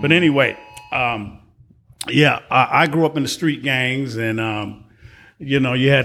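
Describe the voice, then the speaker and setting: A man speaks in a plain, everyday voice with an American accent. His pitch is medium and his intonation fairly even. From Chicago, Illinois. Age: 60s. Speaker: retired warehouse worker. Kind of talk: casual interview.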